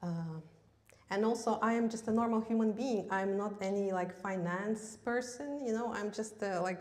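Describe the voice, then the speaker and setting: Audible room echo surrounds a woman with a Russian accent, who speaks at a moderate pace with fairly even intonation and a fairly high pitch. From Russia, Yakutia. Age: 30s. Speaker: massage therapist giving seminar. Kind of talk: seminar talk. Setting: stage with audience, live stream. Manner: halting, many fillers.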